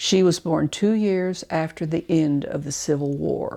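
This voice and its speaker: A dark, mellow tone with an Arkansas accent, fairly even intonation and a moderate pace. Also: woman. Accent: Southern US (Arkansas). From Arkansas, near Farmington. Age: 70s. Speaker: oral history narrator. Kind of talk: reading aloud. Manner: measured.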